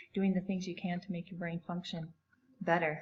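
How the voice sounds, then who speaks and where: This woman's medium-pitched voice carries a somewhat breathy quality. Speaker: podcast host. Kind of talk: podcast introduction.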